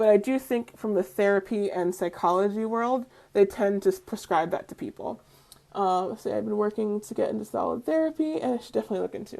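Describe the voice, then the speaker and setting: A woman's dark, mellow voice with an American accent, at a very fast pace, over a quiet background. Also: medium pitch for a woman, ordinary pitch variation. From New York. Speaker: spiritual community live stream host. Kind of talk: live stream talk answering comments.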